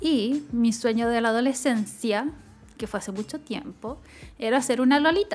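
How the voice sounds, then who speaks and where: At a moderate pace, a woman with a Chilean accent speaks in a high pitch with ordinary pitch variation. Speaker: podcast co-host. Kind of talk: casual chat.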